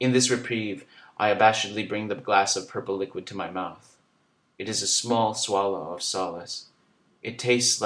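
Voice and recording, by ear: Natural-voiced reading aloud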